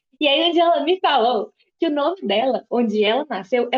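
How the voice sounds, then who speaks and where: Here a woman talks with lively intonation. Her voice sits high in pitch. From interior of Minas Gerais, Brazil. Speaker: podcast co-host. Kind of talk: casual chat.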